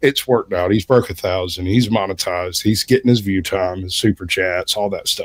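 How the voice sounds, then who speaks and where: Delivered with a dry, close sound and no echo, a man's fairly low voice moves at a fairly quick pace with ordinary pitch variation. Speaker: livestream panelist. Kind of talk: casual chat. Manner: almost lyrical, rhythmic phrasing.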